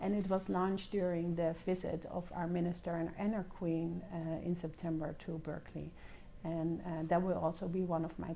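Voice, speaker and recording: A woman speaks at a moderate pace with a Dutch accent, her intonation flat and monotone. Her tone is dark and mellow, with vocal fry. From Netherlands, The Hague. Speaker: diplomat, education and science attaché. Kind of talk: interview. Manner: hesitant, many fillers.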